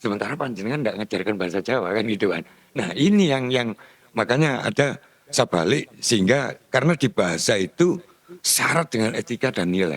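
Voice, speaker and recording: Speaking at a fairly quick pace, a man with a medium pitch makes very wide pitch swings, recorded in a dry, close sound with no echo. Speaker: speaker on local culture. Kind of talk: discussion forum talk. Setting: meeting room.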